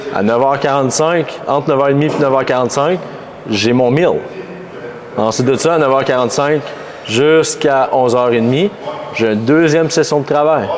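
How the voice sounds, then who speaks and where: Over noticeable background noise and audible room echo, the speech moves at a very slow pace with long, frequent pauses, very even loudness and ordinary pitch variation. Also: man, fairly high pitch for a man. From Quebec, La Tuque (Mauricie). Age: 20s. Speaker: fitness coach and gym owner. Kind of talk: casual chat.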